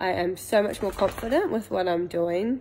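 Speaking in a New Zealand accent, a woman keeps a moderate pace. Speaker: coaching client / small business owner; coaching client. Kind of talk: testimonial. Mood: warm, reflective, positive. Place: home room. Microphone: phone near.

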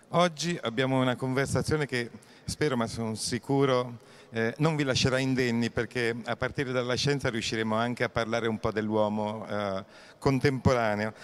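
A man in an ordinary speaking voice, medium in pitch, with fairly even intonation at a moderate pace. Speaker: festival host and moderator. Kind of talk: formal introduction. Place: hall. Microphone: handheld.

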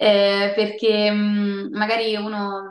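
A woman speaks at a medium pitch in a flat monotone. Audible room echo surrounds her voice against a quiet background. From Rome, Italy. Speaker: voice actress and singer. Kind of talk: interview answer. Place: home room. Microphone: video call.

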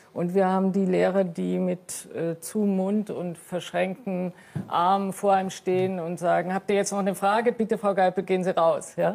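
A woman with a dark, mellow tone and medium pitch talks at a moderate pace. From East Germany, Saxony (Riesa). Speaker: former athlete, author. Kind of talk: TV panel debate. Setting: TV studio.

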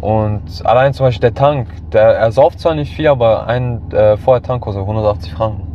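Lively, medium-pitched male speech at a moderate speed, with noticeable background noise. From Switzerland, St. Gallen. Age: 20s. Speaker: car owner, metal industry worker. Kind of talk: interview.

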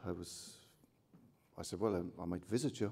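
A Cork accent with a dark, mellow tone, fairly even intonation and a moderate pace. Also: man. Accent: Cork Irish. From Cork, Ireland; Ireland. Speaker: artist. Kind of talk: acceptance speech with anecdotes. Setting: hotel ballroom with audience. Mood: warm, humorous. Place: hall. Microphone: podium.

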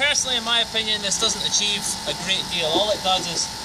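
Loud background noise surrounds a man talking at a very fast pace. His pitch is high, with ordinary variation. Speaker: car detailer. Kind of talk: casual how-to demonstration. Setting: outdoors. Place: street. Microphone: camera far.

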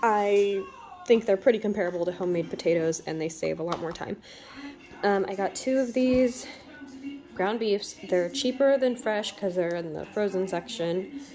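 Clear music plays in the background as a woman talks with ordinary pitch variation. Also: moderate pace. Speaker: stay-at-home mother. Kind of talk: casual talk to camera. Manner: soft-spoken. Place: kitchen. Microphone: phone near.

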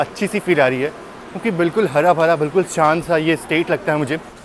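Over light background noise, a man's voice keeps a moderate pace and ordinary pitch variation. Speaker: travel vlogger. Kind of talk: casual vlog chat. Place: station. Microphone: earbuds.

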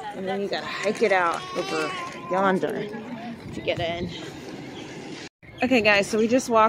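A fairly slow delivery, dry with no echo, amid noticeable background noise. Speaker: travel vlogger. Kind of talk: casual vlog chat. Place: bus. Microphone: phone near.

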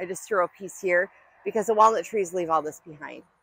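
This woman has a fairly low pitch and ordinary pitch variation, in an ordinary speaking voice. The sound is dry, with no echo. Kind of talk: casual vlog chat. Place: garden. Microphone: lapel.

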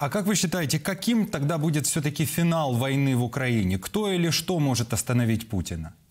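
A man speaks at a fairly quick clip with a fairly high pitch and very wide swings in it. His voice is somewhat breathy, with hardly any pauses. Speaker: TV news presenter. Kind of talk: broadcast interview. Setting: TV studio. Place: studio.

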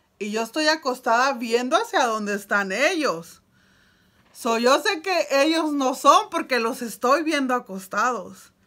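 Raised and projected, a woman's animated, high voice moves at a fairly slow pace with very wide pitch swings over a quiet background. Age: 30s. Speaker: YouTuber; storyteller. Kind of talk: storytelling vlog. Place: home room. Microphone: phone near.

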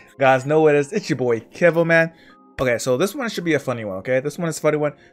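A man's voice with faint music in the background. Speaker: reaction video creator. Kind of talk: casual vlog chat. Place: home room.

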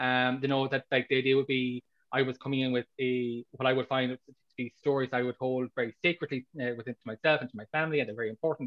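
Against a quiet background, a man with an Irish accent speaks very fast in a monotone, flat intonation. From Ireland. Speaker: author. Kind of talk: interview. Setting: video call. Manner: halting. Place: home room.

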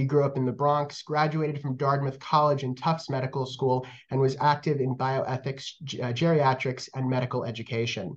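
At a moderate pace, a man talks in a fairly high pitch. His voice sounds somewhat breathy. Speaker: museum education manager. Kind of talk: program introduction. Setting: video call. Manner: halting, many fillers. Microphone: webcam.

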